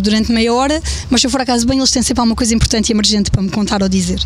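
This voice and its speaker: A woman's fairly high voice at a very fast pace, fairly even in intonation, with audible room echo and noticeable background noise. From Alentejo, Portugal (Évora). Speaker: blogger and mother. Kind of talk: casual interview. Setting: outdoor rooftop terrace.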